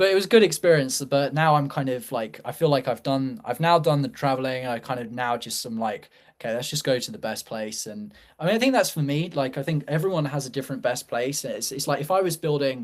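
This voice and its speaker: Delivered at a very fast pace with hardly any pauses, the speech has lively intonation and a British accent. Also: man, fairly high pitch for a man. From UK. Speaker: startup founder. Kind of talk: casual chat. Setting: live show. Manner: halting, many fillers.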